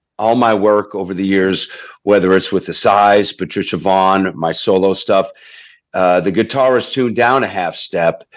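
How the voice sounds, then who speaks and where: The background is quiet as a man speaks at a moderate pace. His pitch is fairly low and his intonation fairly even. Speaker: singer-songwriter and guitarist. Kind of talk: casual chat. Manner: halting.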